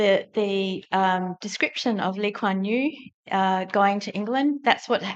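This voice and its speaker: In an Australian accent, a woman speaks at a very slow pace with a medium pitch and ordinary pitch variation. The background is quiet. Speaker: audience member. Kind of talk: audience question. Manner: halting.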